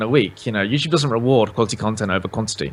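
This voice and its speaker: A man talks with a British accent. His pitch varies in an ordinary way. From southern England, Oxfordshire. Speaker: gaming YouTuber. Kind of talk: casual chat.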